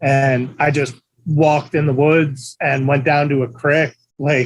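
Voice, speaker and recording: A man with an American accent speaks fairly slowly in a somewhat breathy, fairly high, flat monotone, keeping his loudness very even. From Pennsylvania, small town near Allentown. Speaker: skateboarder. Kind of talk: casual chat.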